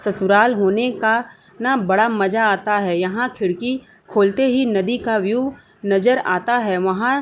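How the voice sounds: With ordinary pitch variation, the reading voice sounds natural.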